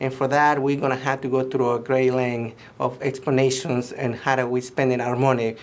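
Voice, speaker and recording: A man speaks with a slight Mexican accent. His intonation is monotone and flat. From Mexico. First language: Spanish. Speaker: political candidate. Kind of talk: campaign statement. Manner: halting, many fillers and restarts.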